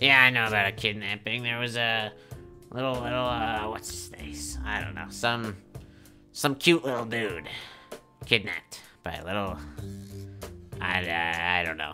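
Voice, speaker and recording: Over clear background music, a man in a put-on character voice speaks at a fairly low pitch and a moderate pace, with long, frequent pauses. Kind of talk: comic improvised skit. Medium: comedy sketch. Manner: casual, cheeky, rambling street-talk.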